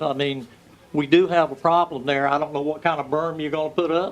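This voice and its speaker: A man with a fairly high pitch and a North Carolina accent, fairly quick pace and fairly even intonation, over noticeable background noise. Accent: US South (North Carolina). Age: 70s. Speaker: local resident speaking at public hearing. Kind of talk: public comment.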